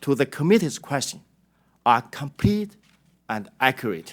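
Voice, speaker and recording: A man speaks with a Chinese accent. His words carry that accent throughout. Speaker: company executive testifying. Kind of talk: prepared testimony statement. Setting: congressional hearing. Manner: formal.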